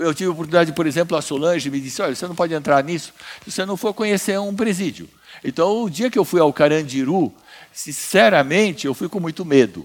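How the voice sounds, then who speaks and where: A man's high-pitched voice, with lively intonation, races along at a very fast pace. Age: 70s. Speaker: businessman and prison reform founder; speaker. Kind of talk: conference talk. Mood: earnest, reflective. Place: stage. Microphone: headset.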